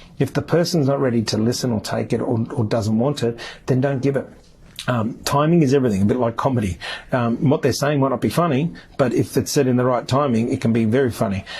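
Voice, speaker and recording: Very fast and somewhat breathy, a man speaks at a medium pitch with ordinary pitch variation and very even loudness. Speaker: podcast host. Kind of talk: solo podcast monologue. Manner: hesitant, many fillers.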